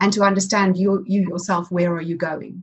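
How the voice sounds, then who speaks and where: This woman's voice sounds somewhat breathy. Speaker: podcast host. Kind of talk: interview conversation.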